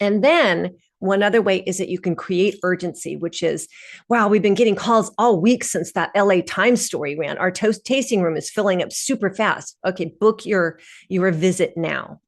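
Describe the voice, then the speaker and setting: A woman talks at a moderate pace over a quiet background. She has an unremarkable speaking voice of medium pitch with ordinary pitch variation. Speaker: PR consultant and webinar presenter. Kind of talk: webinar presentation. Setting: online webinar with screen share.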